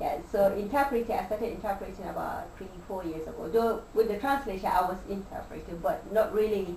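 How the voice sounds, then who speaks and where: With hardly any pauses, a woman talks at a fairly quick pace in a medium pitch with ordinary pitch variation and big swings in loudness, amid audible room echo and noticeable background noise. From northern Nigeria. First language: Hausa. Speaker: interpreter and translator. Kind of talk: interview. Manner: halting, repeats words.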